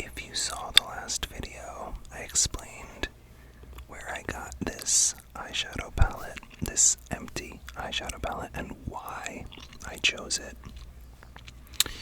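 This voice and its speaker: A man whispers at a very slow pace with big swings in loudness against noticeable background noise. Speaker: makeup ASMR creator. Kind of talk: ASMR palette-building video talking to camera. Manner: whispered, soft.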